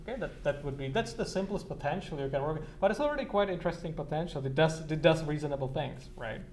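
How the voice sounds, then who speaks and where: Over noticeable background noise and audible room echo, a man with a fairly high pitch talks at a very fast pace with ordinary pitch variation. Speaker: university lecturer. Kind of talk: lecture. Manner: halting, many repetitions.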